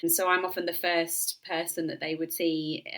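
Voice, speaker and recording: Delivered at a moderate pace, the voice has a bright, sharp tone. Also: woman. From Yorkshire, northern England. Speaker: doctor, menopause specialist. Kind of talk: interview. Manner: hesitant, with fillers.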